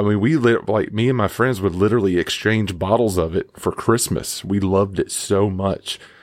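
Recorded very cleanly against a silent background, a man speaks at a moderate pace with a fairly low pitch. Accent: Southern US. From Mississippi, US South. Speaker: listener contributor. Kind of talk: recorded personal story. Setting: home recording booth. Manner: animated.

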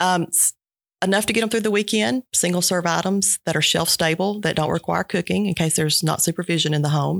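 The speaker has a Georgia accent and a fairly quick pace, in a very clean recording with a silent background. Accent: Southern American (Georgia). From US South, southwest Georgia. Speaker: nonprofit director. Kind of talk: interview.

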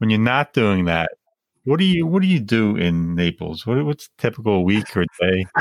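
A man with an American accent speaks at a moderate pace and very even loudness. His pitch is fairly low but swings very widely. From Long Island, New York. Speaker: podcast co-host.

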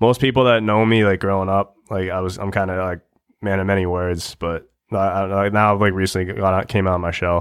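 A man speaks very fast in a very deep, low voice. His intonation is monotone and flat. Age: 20s. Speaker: hockey podcaster and youth coach. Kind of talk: casual chat.

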